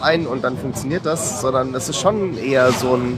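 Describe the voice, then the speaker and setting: Moderate-paced speech from a man with ordinary pitch variation, over noticeable background noise. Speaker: podcast co-host. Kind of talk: casual chat. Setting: convention floor. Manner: hesitant, many fillers.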